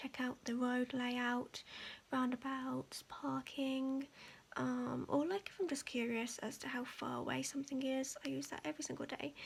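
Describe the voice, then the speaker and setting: Soft-spoken and high in pitch, a woman talks at a moderate pace. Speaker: ASMR creator. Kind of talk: casual ASMR show-and-tell.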